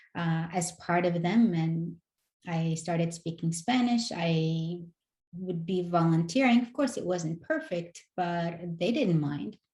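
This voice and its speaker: A woman with a non-native accent speaks at a very slow pace, somewhat breathy, in a fairly low voice with a dark, mellow tone. Her pitch varies in an ordinary way. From North Africa. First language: not English. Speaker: educator. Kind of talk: interview conversation.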